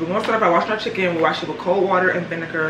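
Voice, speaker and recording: A woman's fairly low voice with ordinary pitch variation over noticeable background noise. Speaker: home cooking vlogger. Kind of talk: casual vlog chat. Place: kitchen.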